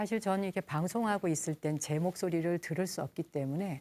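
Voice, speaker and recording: A gentle-toned woman with a fairly low pitch and ordinary pitch variation, in a dry, close sound with no echo and a very clean recording against a silent background. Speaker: Buddhist nun and broadcast host. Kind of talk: calm broadcast talk between music. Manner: slow, gentle.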